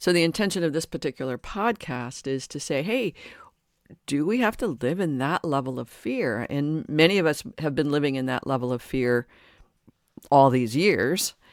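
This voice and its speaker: On a very clean recording with a silent background, a woman keeps a moderate pace. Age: 60s. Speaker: podcast host and life coach. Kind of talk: solo podcast monologue. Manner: halting, with frequent repetitions; conversational.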